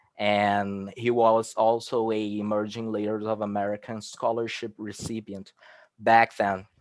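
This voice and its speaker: A man with a Portuguese accent, medium in pitch, at a fairly slow pace. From Brazil, Rio de Janeiro. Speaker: researcher. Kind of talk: conference presentation. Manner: halting.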